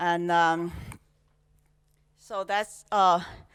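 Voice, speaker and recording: A woman with a Chinese accent at a very slow pace, on a very clean recording with a silent background. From China. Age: 60s. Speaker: conference speaker. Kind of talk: talk. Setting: stage with audience. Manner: halting, many fillers.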